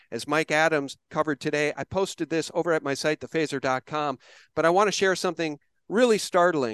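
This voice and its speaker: A man with an unremarkable speaking voice, dry and close with no echo, against a quiet background. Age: 50s. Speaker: podcast host. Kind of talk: conversational interview with ad read.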